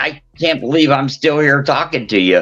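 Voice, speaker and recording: A man is speaking. Music plays in the background. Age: 60s. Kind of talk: casual chat. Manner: animated.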